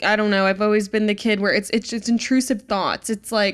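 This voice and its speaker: A woman with an American accent and a normal speaking voice talks at a medium pitch with fairly even intonation on a very clean recording with a silent background. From Virginia. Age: 20s. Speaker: country singer. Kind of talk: interview.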